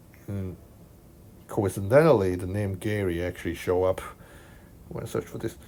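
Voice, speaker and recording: A man's dark, mellow, fairly low voice in a Hong Kong accent, broken by long, frequent pauses. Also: ordinary pitch variation, moderate pace. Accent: Hong Kong accent, noticeable. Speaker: math tutor. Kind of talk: tutorial. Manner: casual, hesitant with fillers.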